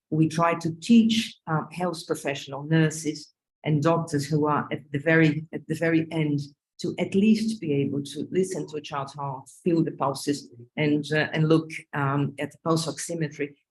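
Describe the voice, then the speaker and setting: Someone with a Brazilian Portuguese accent speaks at a moderate pace. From Northeast Brazil. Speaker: pediatric cardiologist. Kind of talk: panel discussion. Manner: halting, many fillers.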